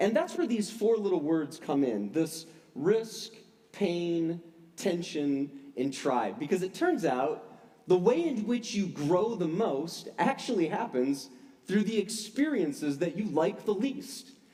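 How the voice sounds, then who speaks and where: A man's high, dark, mellow voice with very wide pitch swings at a fairly slow pace, in audible room echo. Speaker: pastor. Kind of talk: sermon. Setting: church service.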